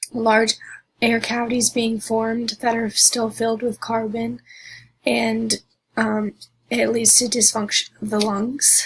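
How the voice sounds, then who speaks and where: A woman speaks at a fairly slow pace in a fairly high pitch. Her voice is somewhat breathy, with monotone, flat intonation. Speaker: student presenter. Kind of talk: class presentation. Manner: halting, many fillers.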